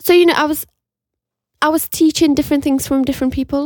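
This is a very clean recording with a silent background. A woman is speaking. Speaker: podcast co-host, university student. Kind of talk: casual chat. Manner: laughs often.

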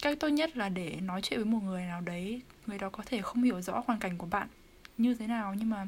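This woman's voice is somewhat breathy and fairly high. She talks at a moderate pace. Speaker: university student. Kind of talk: casual chat.

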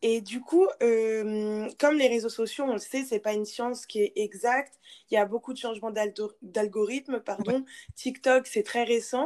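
A woman with a plain, everyday voice at a fairly high pitch and a fairly slow pace, with ordinary pitch variation. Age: 20s. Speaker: podcast host, business school student. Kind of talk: interview.

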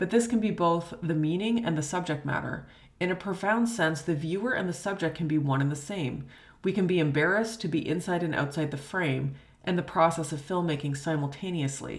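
Somewhat breathy speech moves at a fairly quick pace with ordinary pitch variation and audible room echo. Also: woman, fairly low pitch for a woman. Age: 30s. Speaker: history professor. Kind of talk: lecture.

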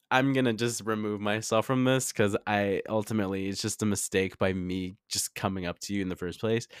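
On a very clean recording with a silent background, a man with an unremarkable speaking voice talks at a fairly quick pace with hardly any pauses, his fairly low pitch carrying fairly even intonation in a dry, close sound with no echo. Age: 20s. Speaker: solo podcast host. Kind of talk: casual monologue.

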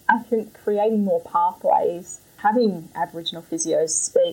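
A woman with an Australian accent at a fairly slow pace, over noticeable background noise. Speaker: physiotherapist. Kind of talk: interview.

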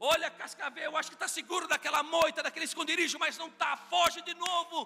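A man's raised, projected voice at a fairly quick pace. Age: 40s. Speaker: pastor. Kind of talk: sermon. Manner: animated.

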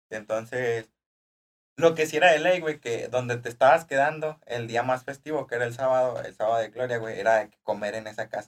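A plain, everyday voice from a man, medium in pitch, with ordinary pitch variation and a fairly quick pace. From Durango, Mexico (rural Cuencamé). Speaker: podcast co-host and seminary former student. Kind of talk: casual chat.

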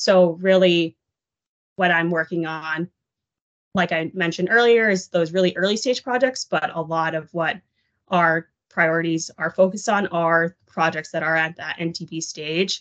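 A woman with an American accent has a plain, everyday voice, a fairly low pitch and ordinary pitch variation at a fairly slow pace. The sound is dry and close, with no echo. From Texas, Dallas area. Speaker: project finance associate. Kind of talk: casual interview.

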